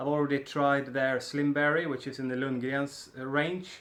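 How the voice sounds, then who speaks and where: A man with a Swedish accent speaks at a fairly slow pace. His pitch is fairly high. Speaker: snus reviewer. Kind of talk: product review. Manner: casual, hesitant with fillers.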